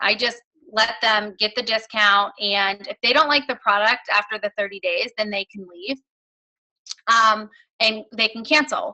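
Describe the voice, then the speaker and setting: A woman has an unremarkable speaking voice at fairly high pitch with ordinary pitch variation. She talks at a moderate pace. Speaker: fitness business coach, guest speaker. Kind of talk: motivational talk on a team call. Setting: conference phone call. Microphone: connection issues.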